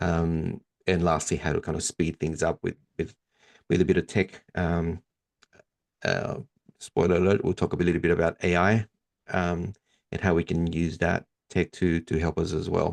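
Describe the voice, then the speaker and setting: Monotone, flat intonation in an American accent, with long, frequent pauses, a dry, close sound with no echo and a quiet background. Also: man, very deep, low pitch for a man, moderate pace. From Sydney, Australia. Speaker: DJ and marketing trainer. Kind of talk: webinar presentation. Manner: hesitant, many fillers.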